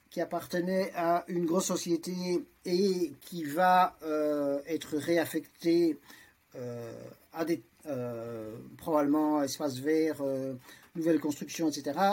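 Fairly high male voice at a very slow pace, with ordinary pitch variation. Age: 60s. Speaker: lawyer, transhumanist association vice-president. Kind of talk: debate. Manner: halting, many fillers.

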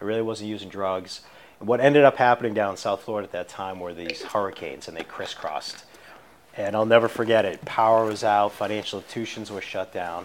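Over noticeable background noise, a man with an American accent speaks in a fairly low pitch, his loudness swinging widely. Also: ordinary pitch variation, fairly quick pace. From Boston area, Massachusetts. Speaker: addiction recovery mentor. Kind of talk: interview testimony. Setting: studio, in person.

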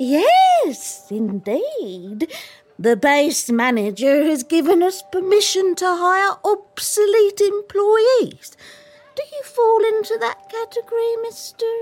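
Faint music plays behind a woman with an extremely high pitch. She moves slowly, fairly so, through very wide pitch swings. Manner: warm, motherly, folksy.

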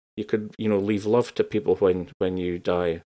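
The recording is very clean, with a silent background. A man speaks in a strong northeast Scottish accent. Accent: northeast Scottish (Doric), broad. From northeast Scotland. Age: 40s. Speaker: creative coach. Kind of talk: casual interview chat.

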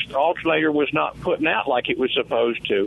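Noticeable background noise sits behind a man speaking with a Mississippi accent. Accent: Southern US (Mississippi). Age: 60s. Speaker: caller. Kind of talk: phone-in question. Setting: phone call.

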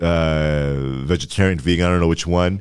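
A man with a Canadian accent talks with ordinary pitch variation. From Ottawa, Ontario (Orleans). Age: 20s. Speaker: comedian. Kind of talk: casual chat.

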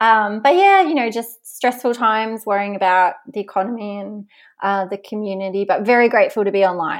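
A woman's fairly high voice in an Australian accent, fairly quick, with ordinary pitch variation and big swings in loudness, on a very clean recording with a silent background. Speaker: online business owner, former military officer. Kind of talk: podcast interview.

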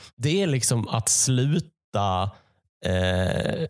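Heard on a very clean recording with a silent background, a man talks at a medium pitch with lively intonation. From Sweden, Malmö/Skåne. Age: 20s. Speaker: comedian. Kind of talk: casual solo monologue. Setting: home basement. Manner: halting.

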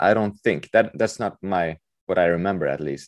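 A man in a Swedish accent, lively in intonation, against a quiet background. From Sweden, Stockholm. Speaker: author. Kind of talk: interview. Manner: halting.

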